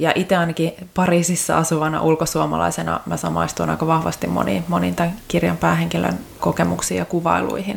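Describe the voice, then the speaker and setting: Here a woman talks at a fairly quick pace. Noticeable background noise is present. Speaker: podcast host. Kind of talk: casual interview.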